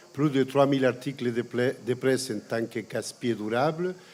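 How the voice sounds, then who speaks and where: With a Chilean accent, a man speaks at a fairly slow pace with ordinary pitch variation. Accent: Chilean Spanish accent in French, kept. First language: Spanish (speaking French). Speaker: environmental campaigner and lecturer. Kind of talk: panel talk.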